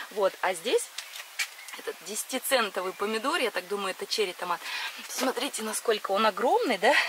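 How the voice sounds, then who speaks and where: The speech comes at a moderate pace over noticeable background noise. The sound is dry with no echo. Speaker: gardening vlogger. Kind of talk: casual vlog chat. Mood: enthusiastic, laughing often. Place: garden. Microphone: phone near.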